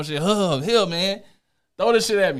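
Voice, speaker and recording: A man talks at a moderate pace with ordinary pitch variation. The recording is very clean, the background silent. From Chicago. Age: 30s. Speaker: interview guest, wheelchair user and shooting survivor. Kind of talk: casual interview chat.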